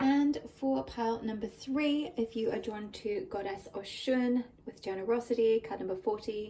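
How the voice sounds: A woman's fairly high-pitched voice at a moderate pace, with a dark, mellow tone and a slightly husky edge. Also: fairly even intonation.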